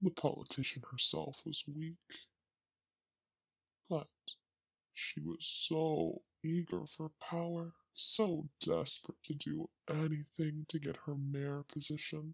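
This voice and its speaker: A put-on character voice at a middle pitch carries a sinister tone. The speech moves at a fairly slow pace with long, frequent pauses. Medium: audio drama. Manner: sinister, gloating.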